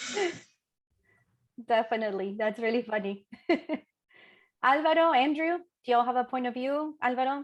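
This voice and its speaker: The speaker has a Chilean accent. Long pauses come often. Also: woman, high pitch for a woman, ordinary pitch variation, moderate pace, quiet background. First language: Spanish. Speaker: panel moderator. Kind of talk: panel discussion.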